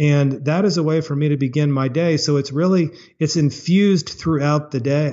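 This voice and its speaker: A man speaks at a moderate pace in a plain, everyday voice, fairly high in pitch, with very even loudness and fairly even intonation. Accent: American. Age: 50s. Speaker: chocolate maker and former lawyer. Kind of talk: interview.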